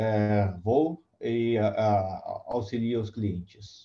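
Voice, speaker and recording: The man's voice has a dark, mellow tone. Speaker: applications engineer. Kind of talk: technical lecture. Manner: slow, deliberate; halting, many fillers.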